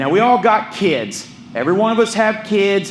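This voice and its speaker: With noticeable background noise and audible room echo, a man talks in an animated tone at a fairly slow pace. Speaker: peer recovery specialist and pastor. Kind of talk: public talk. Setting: stage with audience.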